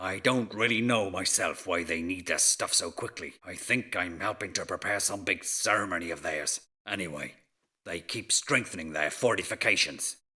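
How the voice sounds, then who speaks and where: A man puts on a raspy character voice with a very deep, low pitch and a moderate pace. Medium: video game. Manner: grumbling, wary.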